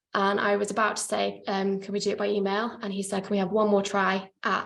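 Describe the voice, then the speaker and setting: A woman speaks at a fairly quick pace with hardly any pauses, and her pitch is medium. Her intonation is monotone and flat, with audible room echo around her. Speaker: PhD researcher presenting her study. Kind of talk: academic conference presentation. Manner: fast, hurrying to finish.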